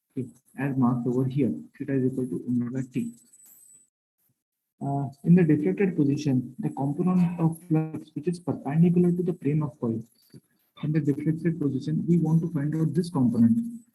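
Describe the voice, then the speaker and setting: A man speaks at a fairly quick pace with long, frequent pauses. His fairly high voice is somewhat breathy and dark, mellow in tone, with ordinary pitch variation. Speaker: lecturer. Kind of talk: lecture. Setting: online lecture from a classroom.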